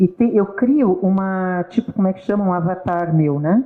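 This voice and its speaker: A woman with an ordinary speaking voice talks at a fairly slow pace and medium pitch, her intonation lively. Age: 60s. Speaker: guest speaker on psychology talk. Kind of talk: casual talk show conversation. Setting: live stream.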